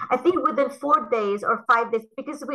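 A woman uses a raised, projected voice with a bright, sharp tone. She keeps a moderate pace. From Lebanon. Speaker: cytogeneticist. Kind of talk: interview.

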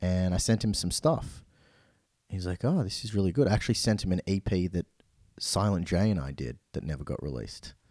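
Speaking at a fairly quick pace in a very clean recording with a silent background, a man with an Australian accent has a very deep, low pitch, a dark, mellow tone and lively intonation. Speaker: DJ and music producer. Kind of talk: casual interview.

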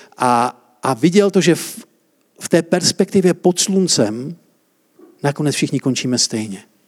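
A man talks at a fairly slow pace and fairly high pitch, with very wide pitch swings. He leaves long, frequent pauses, and the sound is dry and close with no echo. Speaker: preacher. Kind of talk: sermon. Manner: interactive, asks audience questions.

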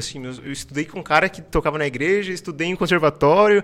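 Music plays in the background as a man with a high voice speaks with lively intonation. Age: 20s. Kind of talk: casual interview chat. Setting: studio.

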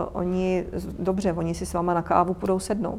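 Her intonation is monotone and flat. The woman's pitch sits in the medium range. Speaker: lawyer and freelance business consultant. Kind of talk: guest talk. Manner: frequent hesitations.

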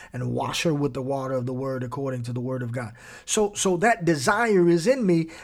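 An animated delivery at a fairly quick pace, with audible echo from the room. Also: man. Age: 50s. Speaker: podcast host and Bible teacher. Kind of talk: Bible teaching podcast.

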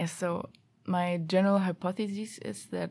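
A woman with a German accent speaks at a fairly slow pace. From Germany. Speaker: master's student. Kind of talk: casual interview.

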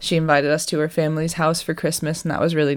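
Speaking with an American accent, a woman uses a very deep, low pitch, vocal fry and monotone, flat intonation. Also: very clean recording, silent background. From Boston, US. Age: 20s. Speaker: podcast host. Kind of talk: casual solo podcast monologue. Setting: home attic apartment recording. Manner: casual, chatty.

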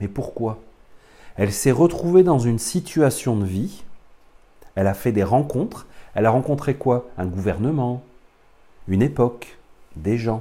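His tone is dark and mellow. The man speaks with lively intonation. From France. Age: 40s. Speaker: spiritual teacher. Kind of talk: lecture. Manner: halting.

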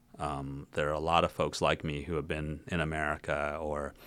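A man speaks with a very deep, low pitch. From Lexington, Kentucky. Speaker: city politician. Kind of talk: interview.

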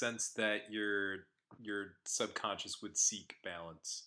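With an American accent, a man talks at a very slow pace in a bright, sharp tone. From United States. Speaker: podcast co-host. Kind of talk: casual chat.

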